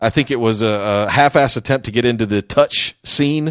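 A man with a normal speaking voice talks at a medium pitch with ordinary pitch variation. The sound is dry and close with no echo. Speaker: podcast host. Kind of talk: casual chat.

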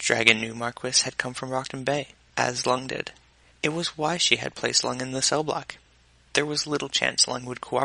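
The speaker reads in a natural voice, intonation staying fairly level.

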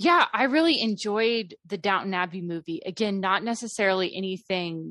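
Against a quiet background, a woman with a medium pitch and a bright, sharp tone speaks at a moderate pace with fairly even intonation. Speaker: movie reviewer. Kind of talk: casual chat.

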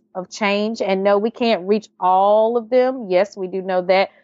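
A woman speaks at a fairly slow pace. She has a North Carolina accent. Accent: Southern US (North Carolina). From US South, North Carolina. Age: 30s. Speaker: writer and HIV awareness speaker. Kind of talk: interview, casual chat.

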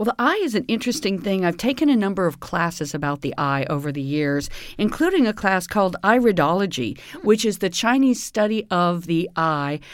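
A woman at a fairly quick pace with very wide pitch swings, in a very clean recording with a silent background. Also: medium pitch for a woman. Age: 50s. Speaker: nutrition consultant. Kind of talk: interview on health topic.

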